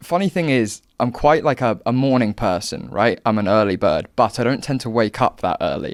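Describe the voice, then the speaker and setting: Speaking with a southern English accent and hardly any pauses, the voice comes through on a very clean recording with a silent background. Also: man, medium pitch for a man, lively intonation, moderate pace. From southern England, Hampshire. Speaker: political commentator and content creator. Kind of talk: podcast interview. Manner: hesitant, many fillers.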